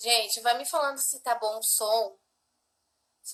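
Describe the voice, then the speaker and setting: Her voice sits fairly high for a woman. She takes a fairly slow pace. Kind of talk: devotional teaching livestream. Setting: livestream with husband.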